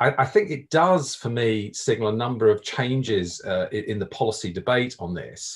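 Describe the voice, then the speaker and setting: A man's voice comes across somewhat breathy. The background is quiet. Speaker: professor. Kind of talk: panel discussion. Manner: repeats words, halting. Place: home room. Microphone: video call.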